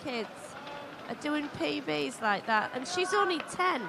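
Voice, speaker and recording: A woman's high-pitched voice with a British accent, at a fairly slow pace, with audible room echo and noticeable background noise. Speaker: swimming commentator. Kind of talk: live commentary. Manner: animated.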